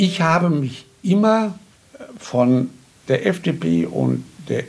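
Pitch swings very widely throughout. The voice belongs to a man. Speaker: contemporary witness, politician. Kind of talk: interview.

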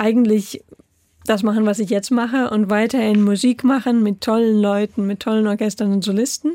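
A woman speaks at a fairly high pitch with a dark, mellow tone and fairly even intonation. The recording is very clean with a silent background, dry and close with no echo. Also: moderate pace. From Germany, Saarland (Saarbrücken). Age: 30s. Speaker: conductor. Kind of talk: radio interview. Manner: hesitant with fillers.

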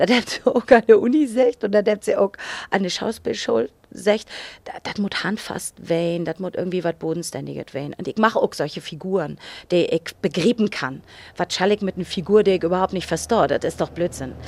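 A woman's fairly quick, lively-toned speech, dry and close with no echo, in a very clean recording with a silent background. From northern Germany, Cuxhaven. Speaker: actress and singer. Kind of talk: casual chat in Low German. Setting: studio.

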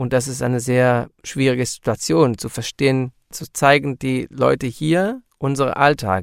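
A man with an Israeli accent and medium pitch speaks at a fairly slow pace with hardly any pauses and ordinary pitch variation, in a very clean recording with a silent background and a dry, close sound with no echo. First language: Hebrew (speaking German). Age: 40s. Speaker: musician. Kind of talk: interview.

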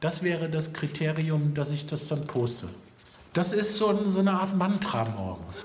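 Noticeable noise is present behind the voice. Delivery is fairly slow. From Germany, Hannover. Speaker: poet. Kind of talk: TV report interview.

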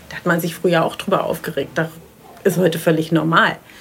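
A woman's voice is heard. Noticeable background noise runs behind it. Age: 50s. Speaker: marine biologist. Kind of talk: interview; audio diary. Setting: outdoors on a balcony.

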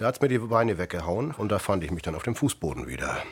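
A man's ordinary speaking voice, fairly low in pitch, with lively intonation. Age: 50s. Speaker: patient, café worker and former seaman. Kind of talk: recorded interview testimony.

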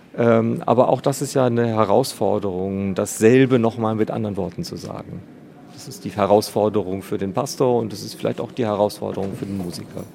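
A man speaks at a fairly quick pace and fairly low pitch with ordinary pitch variation. His loudness swings a lot, and background noise is noticeable. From East Frisia, northern Germany. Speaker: cathedral organist. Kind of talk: interview. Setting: organ loft in a cathedral.

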